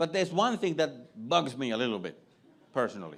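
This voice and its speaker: A man with a Finnish accent talks at a fairly high pitch, his pitch swinging very widely, with vocal fry. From Finland. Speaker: comedian. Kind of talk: stand-up.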